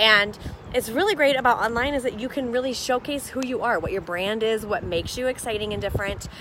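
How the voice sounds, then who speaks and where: The speech comes at a very fast pace with ordinary pitch variation over noticeable background noise. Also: woman, fairly high pitch for a woman. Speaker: business coach. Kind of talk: live stream chat. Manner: loud, boisterous.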